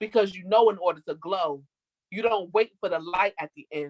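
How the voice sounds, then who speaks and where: An ordinary speaking voice at a moderate pace, with dry, close sound and no echo. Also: woman. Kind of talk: spoken word poetry performance. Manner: rhythmic, expressive, poetic delivery.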